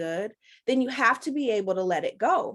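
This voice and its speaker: Against a quiet background, a woman with a normal speaking voice talks at a fairly high pitch with lively intonation. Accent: American. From Chicago, Rogers Park. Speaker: life coach. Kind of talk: webinar talk.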